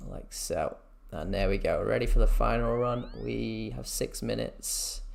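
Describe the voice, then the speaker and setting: The pace is fairly slow. Room echo can be heard. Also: man. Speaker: video game streamer. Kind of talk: gameplay tutorial commentary. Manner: soft-spoken, talking quietly.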